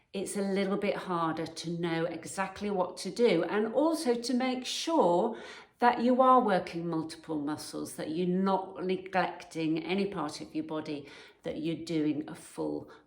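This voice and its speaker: This woman has a fairly low pitch and ordinary pitch variation. She speaks at a fairly slow pace in an ordinary speaking voice. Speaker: personal trainer. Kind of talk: fitness advice talk to camera.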